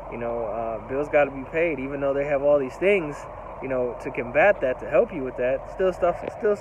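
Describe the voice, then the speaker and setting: A man's voice comes through dry, with no echo. Background noise is noticeable. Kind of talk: casual vlog chat. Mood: reflective, concerned. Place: street. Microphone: phone near.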